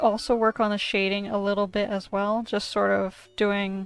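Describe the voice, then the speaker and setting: A woman talks at a moderate pace over faint background music, in a dry sound with no echo. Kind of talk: tutorial commentary.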